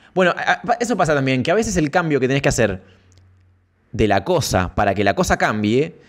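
A man speaks very fast with vocal fry and very wide pitch swings in an Argentine accent. The background is quiet. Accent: Argentine Spanish (rioplatense voseo). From Santa Fe province, Argentina. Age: 30s. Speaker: streamer. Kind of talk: casual live stream chat. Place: home room. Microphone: studio mic.

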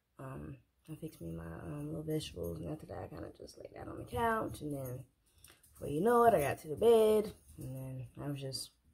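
Speaking at a fairly quick pace, a woman talks. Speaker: vlogger. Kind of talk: casual vlog chat. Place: kitchen. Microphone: phone near.

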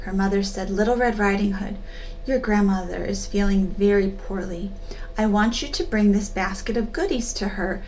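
Reading aloud in a natural voice

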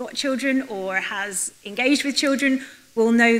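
The woman's pitch shifts in an ordinary way. She speaks at a fairly slow pace. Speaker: conference speaker. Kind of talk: conference talk. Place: hall. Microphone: podium.

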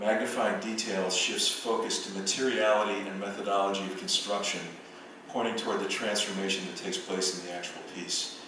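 A man talks at a fairly quick pace in a fairly low, monotone voice with flat intonation, with noticeable background noise and strong room echo. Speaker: visual artist and professor. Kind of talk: lecture. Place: hall.

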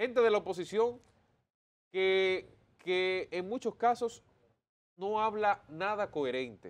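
A man with a high pitch at a very slow pace, ordinary pitch variation, and long, frequent pauses. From Dominican Republic. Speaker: political commentator. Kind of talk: opinion commentary. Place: studio. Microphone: lapel.

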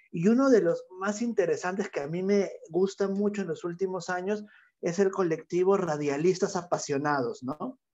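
A man with a high pitch talks at a moderate pace, with ordinary pitch variation. The background is quiet. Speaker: workshop facilitator. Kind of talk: online workshop. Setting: video call. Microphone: earbuds.

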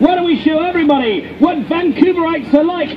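Moderate pace, with crowd noise in the background. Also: man. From England. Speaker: street performer. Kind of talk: live street show crowd work. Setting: outdoors. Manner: joking, upbeat. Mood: joking, teasing. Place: street. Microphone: camera far.

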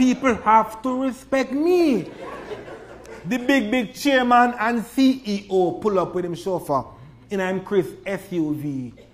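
A man with a Jamaican accent, high-pitched and lively in intonation, over noticeable background noise. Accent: Jamaican Creole. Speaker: poet. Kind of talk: poetry reading.

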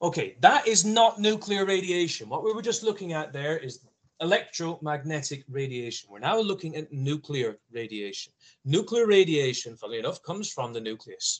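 A man speaks at a moderate pace in a high pitch, with very wide pitch swings and big swings in loudness against a quiet background. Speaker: science teacher. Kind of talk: lecture. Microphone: video call.

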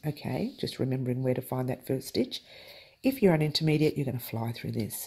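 The tone of this voice is dark and mellow. It carries some breathiness. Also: woman. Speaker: crochet tutorial host. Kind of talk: tutorial. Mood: cheerful, playful.

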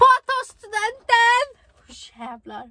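A woman's raised, projected voice has a bright, sharp tone in a dry sound with no echo. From Sweden. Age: young. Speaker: vlogger. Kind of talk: casual vlog talk. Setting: in a car. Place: car. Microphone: phone near.

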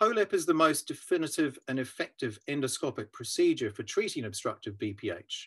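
Barely pausing, a man with a New Zealand accent talks at a moderate pace. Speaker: urological surgeon. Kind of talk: scripted explainer.

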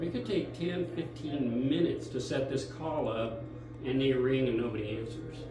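Clear music plays in the background, and the room echo is audible. A man speaks at a fairly slow pace. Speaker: museum docent guide. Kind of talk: guided tour explanation. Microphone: camera far.

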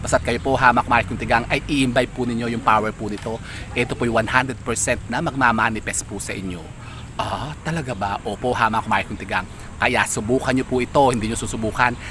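Against noticeable background noise, a man talks at a fairly quick pace in a medium pitch. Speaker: vlogger, lucky charm seller. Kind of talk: casual vlog presentation. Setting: outdoors. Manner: animated.

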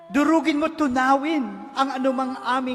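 Fairly slow pace amid noticeable background noise. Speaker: prayer leader. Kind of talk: fervent healing prayer. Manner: earnest, pleading, imploring; emphatic, rising to commanding declarations.

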